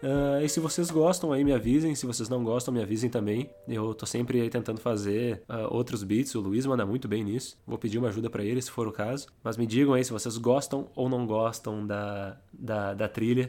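Speaking at a moderate pace with hardly any pauses, a man with a Brazilian accent has a medium pitch, a dark, mellow tone and ordinary pitch variation. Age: 20s. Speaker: podcast host. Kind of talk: casual monologue.

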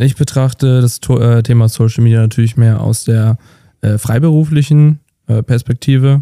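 Speaking fairly slowly at a medium pitch, a man has a dark, mellow tone and very even loudness in a dry, close sound with no echo. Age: 20s. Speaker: videographer. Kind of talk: casual chat.

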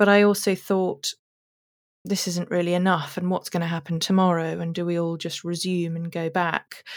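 A woman's fairly low, flat, monotone voice at a moderate pace, on a very clean recording with a silent background. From London, then South Africa from age eight. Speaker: interior designer. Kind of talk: casual interview.

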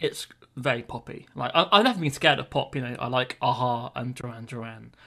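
A man's medium-pitched voice in a British accent, bright and sharp in tone, with lively intonation at a moderate pace. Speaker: music podcast co-host. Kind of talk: casual chat. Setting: podcast recording. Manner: hesitant, many fillers.

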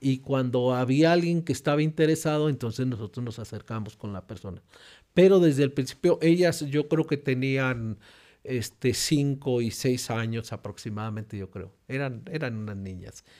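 A medium-pitched man at a moderate pace, with ordinary pitch variation and big swings in loudness, on a very clean recording with a silent background. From Mexico. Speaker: pastor and regional church presbyter. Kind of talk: interview testimony. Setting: church.

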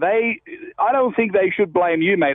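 A man with an Australian accent speaks at a high pitch with ordinary pitch variation. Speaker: golfer. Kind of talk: phone call-in chat.

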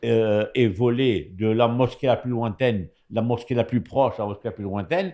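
A man with a normal speaking voice talks at a fairly slow pace and medium pitch, with ordinary pitch variation. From Morocco. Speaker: radio commentator. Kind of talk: radio panel discussion.

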